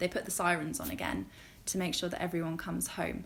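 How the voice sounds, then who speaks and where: This is a woman speaking with a British accent. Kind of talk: casual talk to camera.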